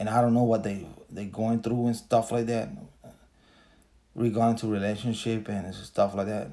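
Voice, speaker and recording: Speaking with a Spanish accent, a man has a fairly low pitch and a dark, mellow tone. His pace is moderate and his intonation fairly even. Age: 40s. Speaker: podcaster. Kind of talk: casual commentary monologue. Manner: casual, hesitant with fillers.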